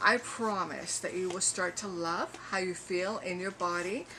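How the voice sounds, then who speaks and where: A woman with a medium pitch talks at a fairly slow pace. Background noise can be noticed behind her. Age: 60s. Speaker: personal trainer and medical exercise specialist. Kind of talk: sales pitch. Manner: hesitant with frequent fillers.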